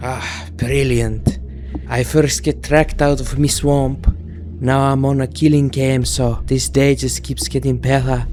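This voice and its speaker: Over clear music in the background, a man puts on a gruff character voice at a fairly slow pace. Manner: sarcastic, grumbling.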